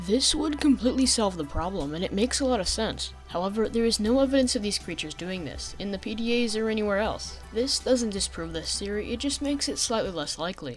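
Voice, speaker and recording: Over music in the background, a woman talks at a very fast pace with hardly any pauses. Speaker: gaming video narrator. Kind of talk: game lore theory narration. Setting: home recording, basic microphone.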